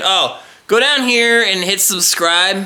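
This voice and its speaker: With noticeable background noise around him, a man speaks in a Southern US accent. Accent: southern drawl. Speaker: car customizing vlogger. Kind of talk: casual vlog walkthrough. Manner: casual, halting with fillers.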